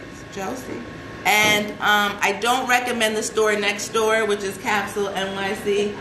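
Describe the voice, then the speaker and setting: A woman speaks at a fairly high pitch in an animated tone. The room echo is audible and background noise is noticeable. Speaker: celebrity fashion stylist and show host. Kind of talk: casual live show talk.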